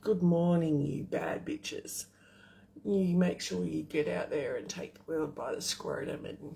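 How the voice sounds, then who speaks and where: A raspy put-on character voice delivers its lines at a moderate pace. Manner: sarcastic.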